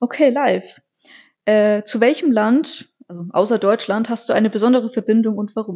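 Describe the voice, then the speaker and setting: Speaking at a moderate pace, a woman with a normal speaking voice sits fairly high in pitch, with ordinary pitch variation. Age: 20s. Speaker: podcast co-host, office clerk. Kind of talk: casual chat.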